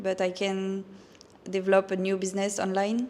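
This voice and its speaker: Spoken with a French accent at a moderate pace, the voice comes through over noticeable background noise. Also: woman. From France. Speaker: physiotherapist and online fitness coach. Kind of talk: casual interview. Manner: halting.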